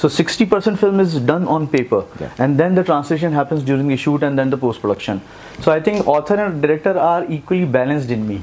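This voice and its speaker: A man with a North Indian accent, fairly high pitch, fairly quick pace and lively intonation. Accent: Indian English, Hindi belt. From India, Jabalpur, Madhya Pradesh; Madhya Pradesh, India. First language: Hindi. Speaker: film director and author; guest. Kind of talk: interview. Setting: event interview at a literature festival. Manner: halting. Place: studio. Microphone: lapel.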